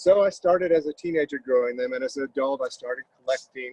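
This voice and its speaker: A man with an American accent talks at a moderate pace in a dry, close sound with no echo. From Florida. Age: 60s. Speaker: plant grower. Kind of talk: casual interview.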